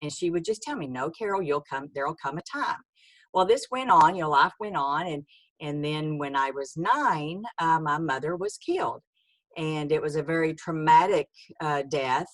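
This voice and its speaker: Speaking at a moderate pace with a Texan accent, this voice shows ordinary pitch variation. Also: woman, very deep, low pitch for a woman. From Texas, rural. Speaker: author. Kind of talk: testimony. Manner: halting, many fillers.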